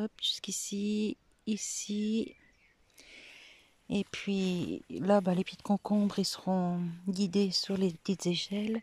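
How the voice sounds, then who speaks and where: A soft-spoken woman talks in a medium pitch, somewhat breathy, with monotone, flat intonation. The sound is dry and close, with no echo. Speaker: gardening vlogger. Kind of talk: casual vlog walkthrough. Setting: outdoors in garden.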